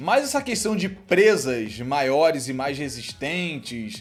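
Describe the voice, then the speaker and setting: This man speaks in an animated tone, his pitch swinging very widely. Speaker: anime YouTuber. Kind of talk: casual Q&A commentary. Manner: fast.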